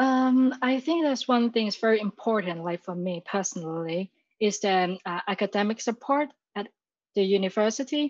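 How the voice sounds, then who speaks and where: With a Chinese accent, a woman with a fairly high pitch and lively intonation speaks at a moderate pace against a quiet background in a dry, close sound with no echo. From Hong Kong. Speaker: university graduate. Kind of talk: interview. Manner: halting.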